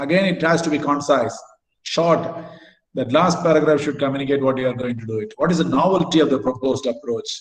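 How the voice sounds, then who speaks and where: A man talks at a fairly quick pace in a fairly high, somewhat breathy voice with ordinary pitch variation. Audible room echo surrounds him. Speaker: academic lecturer. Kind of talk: lecture. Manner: halting.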